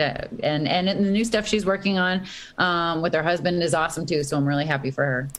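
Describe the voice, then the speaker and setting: Speaking fairly quickly with hardly any pauses, a woman with an American accent has an ordinary speaking voice, fairly low in pitch, with ordinary pitch variation and very even loudness, in a very clean recording with a silent background. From Boston, Massachusetts. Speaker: rock guitarist. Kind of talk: casual interview.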